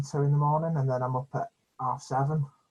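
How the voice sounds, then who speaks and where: Somewhat breathy, a man speaks in a strong British accent. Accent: British, self-described as strong. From UK. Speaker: epilepsy channel host. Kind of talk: casual video chat. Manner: stammering, repeats words.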